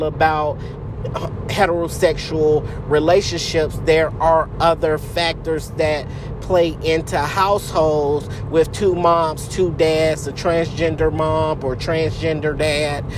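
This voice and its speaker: A woman with a very deep, low pitch speaks at a fairly slow pace in a monotone, flat intonation. Audible room echo and noticeable background noise fill the recording. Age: 30s. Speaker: podcast host. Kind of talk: solo podcast monologue.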